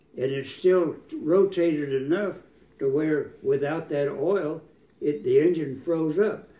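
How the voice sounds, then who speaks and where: In an American accent, a man talks fairly slowly with a fairly high pitch, a dark, mellow tone and ordinary pitch variation. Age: 80s+. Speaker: retired air force pilot. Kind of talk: casual chat. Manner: halting.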